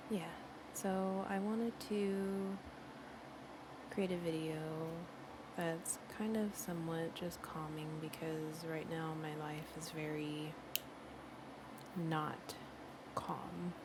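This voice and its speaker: Soft-spoken and at a very slow pace, a woman with a fairly low pitch keeps a fairly even intonation, leaving long, frequent pauses. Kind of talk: soft-spoken ASMR gameplay talk. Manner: chatty.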